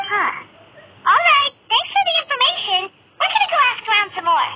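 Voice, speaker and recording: An extremely high, squeaky put-on character voice at a moderate pace. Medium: video game. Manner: casual, friendly.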